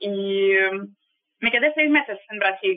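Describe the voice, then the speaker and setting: Talking at a fairly slow pace, a woman uses lively intonation. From Russia, Saint Petersburg. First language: Russian (speaking Spanish). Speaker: travel guide on ships. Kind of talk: interview. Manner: halting.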